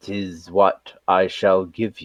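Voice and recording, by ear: A man uses a put-on character voice. It sounds resonant, with a fairly low pitch.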